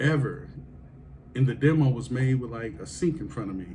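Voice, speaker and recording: A moderate pace with audible room echo. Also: man. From Kansas City, Missouri. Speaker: podcast host. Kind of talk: casual interview chat.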